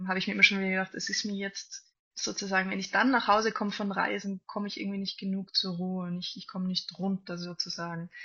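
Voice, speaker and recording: This woman has a normal speaking voice, with a medium pitch and a fairly quick pace. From Austria, Salzburg. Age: 20s. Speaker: classical cellist. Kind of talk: interview.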